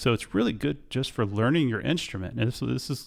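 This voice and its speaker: The recording is very clean, its background silent. A man speaks there in a medium pitch. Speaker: guitarist and music producer reviewing software. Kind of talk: software tutorial. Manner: animated.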